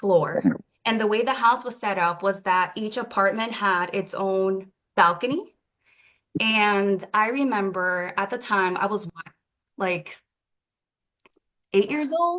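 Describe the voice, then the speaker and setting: A woman speaks with a Spanish accent. Her pace is fairly slow, broken by long, frequent pauses. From Dominican Republic. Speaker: oracle deck creator. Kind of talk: casual talk at online launch event. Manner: animated.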